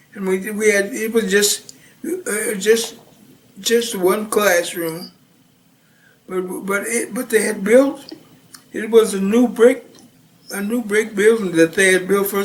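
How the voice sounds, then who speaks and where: Over noticeable background noise, a speaker with an American accent talks at a very slow pace, with fairly even intonation and long, frequent pauses. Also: man, high pitch for a man. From Missouri, US Midwest. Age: 70s. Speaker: retired Navy veteran. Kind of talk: oral history interview. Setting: at home. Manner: halting, many fillers and restarts.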